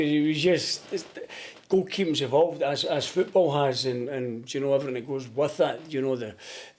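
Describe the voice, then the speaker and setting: A man speaks at a fairly quick pace with lively intonation. His voice is fairly high, with a dark, mellow tone. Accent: Glaswegian. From Scotland, Glasgow. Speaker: goalkeeping coach and former footballer. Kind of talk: podcast interview. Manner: loud when coaching.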